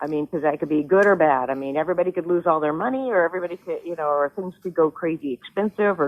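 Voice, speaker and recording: A woman speaks with pitch that varies an ordinary amount. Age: 60s. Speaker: home seller. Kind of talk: phone call conversation.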